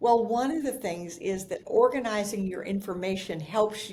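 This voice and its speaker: A woman talks at a medium pitch, her tone dark and mellow and somewhat breathy. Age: 70s. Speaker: professional organizer and author. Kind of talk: podcast interview.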